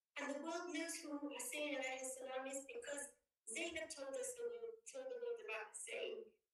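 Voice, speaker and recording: A woman's pitch swings very widely. Audible room echo is present. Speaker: student speaker. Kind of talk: speech. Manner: fast.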